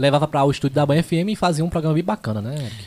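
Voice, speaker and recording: A man speaks very fast with ordinary pitch variation and a somewhat breathy voice, recorded dry and close with no echo. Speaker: podcast host and radio announcer. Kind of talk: casual interview chat, live stream.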